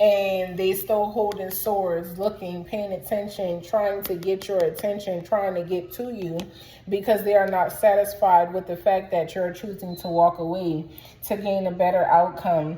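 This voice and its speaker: Noticeable background noise runs under a woman at a medium pitch. She talks at a moderate pace in a monotone, flat intonation. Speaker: tarot reader. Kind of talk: tarot reading to camera. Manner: casual, chatty.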